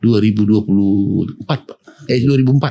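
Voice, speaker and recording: The man's tone is dark and mellow. He pitches his voice fairly low. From Pematangsiantar, North Sumatra, Indonesia. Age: 60s. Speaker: mayoral candidate. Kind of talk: podcast interview. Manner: conversational.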